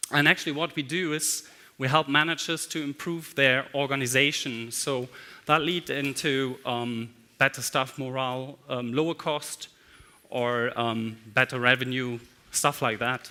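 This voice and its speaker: The voice has a bright, sharp tone, a fairly slow pace and fairly even intonation. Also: man, medium pitch for a man. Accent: German. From Germany. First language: German. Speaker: management consultant. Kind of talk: conference talk.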